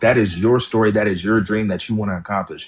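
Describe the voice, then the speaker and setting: Speaking at a very fast pace, a man uses a fairly low pitch. His tone is animated. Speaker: author. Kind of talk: interview.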